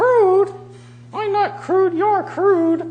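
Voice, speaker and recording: Someone uses a put-on character voice at an extremely high pitch. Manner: crude, cheeky.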